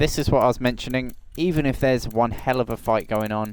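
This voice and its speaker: A man is speaking. He has a Norfolk accent. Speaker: sim racing commentator. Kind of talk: live commentary. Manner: casual, rambling with fillers.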